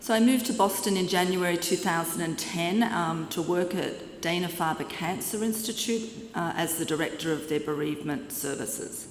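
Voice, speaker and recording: A woman with an Australian accent speaks at a moderate pace, her fairly low pitch moving with ordinary variation. Audible room echo and noticeable background noise surround her voice. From Australia, Sydney. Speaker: clinical psychologist. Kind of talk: conference lecture. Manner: halting, with fillers.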